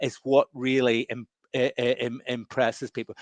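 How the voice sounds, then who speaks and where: Here is a man with a medium pitch. The sound is dry and close with no echo, and the background is quiet. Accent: Northern Irish. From Northern Ireland. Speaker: professor and entrepreneur. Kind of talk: webinar interview. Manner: halting, many repetitions.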